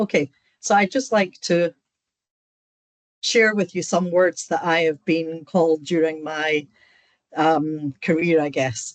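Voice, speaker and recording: A woman speaks in a Scottish accent, at a fairly low pitch with ordinary pitch variation. The sound is dry and close, with no echo. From Scotland. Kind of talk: online seminar lecture. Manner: direct, straight to the point.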